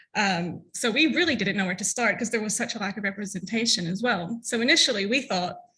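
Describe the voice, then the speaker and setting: Bright and sharp in tone, a woman with an American accent talks at a very fast pace, her fairly high pitch showing ordinary variation. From US South. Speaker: LGBTQ+ content creator and activist. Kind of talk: conference talk.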